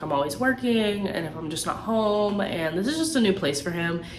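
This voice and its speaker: A woman's voice with very wide pitch swings, audible room echo and music in the background. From Tampa, Florida, with Puerto Rican family. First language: Spanish. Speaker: YouTuber. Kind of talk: casual Q&A vlog. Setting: at home. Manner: animated.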